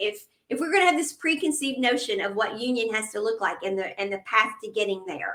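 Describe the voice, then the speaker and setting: A woman with an unremarkable speaking voice and fairly high pitch talks at a fairly quick pace with lively intonation. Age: 50s. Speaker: podcast moderator. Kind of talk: casual chat.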